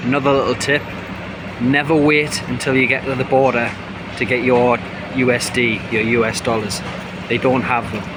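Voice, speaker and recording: A man with a northeast English accent speaks at a medium pitch with fairly even intonation. Audible room echo and noticeable background noise surround him. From northeast England. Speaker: travel vlogger. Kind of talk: casual travel vlog.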